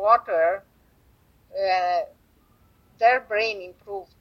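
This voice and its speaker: A woman with a Romanian accent at a medium pitch, very slow pace and fairly even intonation. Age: 70s. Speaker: energy healer and author. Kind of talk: interview. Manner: halting.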